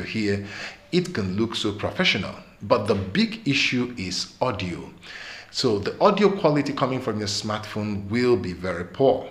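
A man talks at a moderate pace with big swings in loudness. Audible room echo fills the recording. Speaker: tech channel host. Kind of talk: tutorial. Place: studio.

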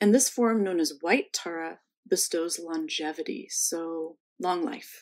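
A woman with an ordinary speaking voice and a fairly low pitch uses lively intonation at a fairly slow pace against a quiet background. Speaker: museum host. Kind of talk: welcome and introductions. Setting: online video session.

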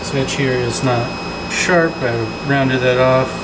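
Loud background noise runs under the speech. The pace is very slow. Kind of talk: casual tutorial commentary. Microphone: phone near.

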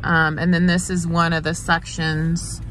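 Faint music plays behind a dry sound with no echo. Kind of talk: casual narrated drive tour. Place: car. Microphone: phone near.

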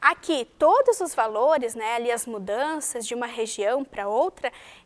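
A woman talks at a fairly slow pace. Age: 20s. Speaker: math teacher. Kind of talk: lecture. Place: studio.

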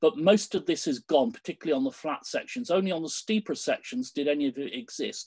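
A British accent at a very fast pace, with hardly any pauses, against a quiet background. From Britain. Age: 60s. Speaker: canoe coach. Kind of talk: presentation. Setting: video call. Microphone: video call.

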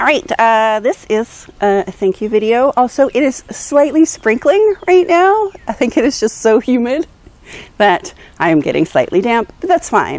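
A woman speaks at a moderate pace with very wide pitch swings, the sound dry with no echo. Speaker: vlogger. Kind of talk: casual vlog chat. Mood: cheerful, playful. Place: garden. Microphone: lapel.

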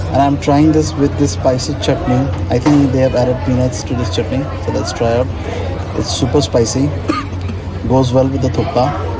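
A man's speech with long, frequent pauses over clear background music. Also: moderate pace. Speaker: food vlogger. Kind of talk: casual food review. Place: cafe. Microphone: phone near.

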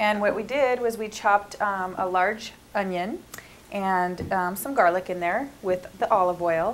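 A woman with an American accent and a normal speaking voice talks at a fairly slow pace in a medium pitch with ordinary pitch variation, over light background noise. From US Northwest (Montana reservation). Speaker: cooking show host. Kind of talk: cooking demonstration. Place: kitchen. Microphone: lapel.

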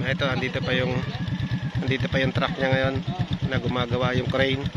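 A man talks at a fairly quick pace over loud background noise. The sound is dry, with no echo. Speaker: travel vlogger. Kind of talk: casual vlog chat. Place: motorbike. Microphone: phone near.

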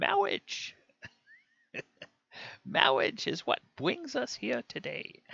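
Putting on a character voice, a man talks at a high pitch and a very slow pace with long, frequent pauses. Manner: pompous, drawn-out.

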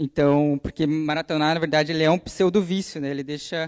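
Fairly even intonation over a quiet background. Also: man. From Curitiba, southern Brazil; Paraná, Brazil. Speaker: software developer and computer engineering student; presenter. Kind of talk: conference talk. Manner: hesitant, many filler sounds. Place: hall.

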